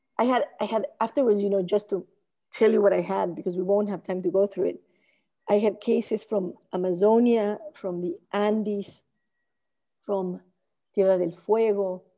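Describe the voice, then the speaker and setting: A woman with a Spanish accent speaks at a medium pitch in a dark, mellow tone. Her intonation is fairly even, and she leaves long, frequent pauses. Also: moderate pace. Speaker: architect and urbanism researcher. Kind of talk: academic lecture. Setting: video call.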